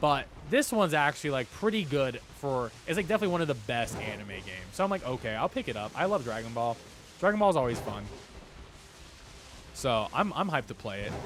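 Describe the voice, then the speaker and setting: A man's fairly high voice at a very fast pace, full of very wide pitch swings, with music in the background. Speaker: gaming streamer. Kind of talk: live stream chat. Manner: casual, rambling.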